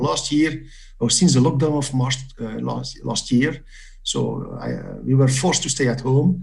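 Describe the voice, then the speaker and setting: Long, frequent pauses break up a man's fairly even intonation. Audible room echo and noticeable background noise come through. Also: medium pitch for a man, moderate pace. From Belgium. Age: 60s. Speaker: quiz competitor. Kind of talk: interview. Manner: halting, many fillers.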